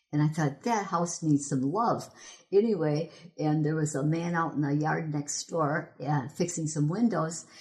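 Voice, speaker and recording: With an Upper Midwest accent, a woman speaks at a fairly slow pace in a very deep, low pitch, somewhat breathy and with ordinary pitch variation. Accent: Upper Midwest American. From Michigan. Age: 70s. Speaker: local history volunteer. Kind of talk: oral history interview.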